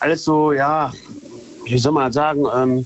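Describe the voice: At a moderate pace, a man talks with fairly even intonation and a fairly high pitch.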